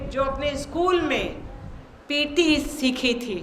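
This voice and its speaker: Amid noticeable background noise and audible room echo, a woman with a high pitch speaks in a raised, projected voice. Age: 60s. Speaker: invited speaker at yoga seminar. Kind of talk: formal speech.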